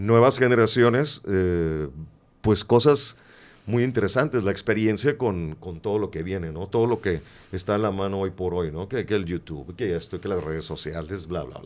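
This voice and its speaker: A man with a plain, everyday voice speaks at a fairly low pitch and moderate pace, with lively intonation, on a very clean recording against a silent background. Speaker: radio announcer. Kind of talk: interview answer.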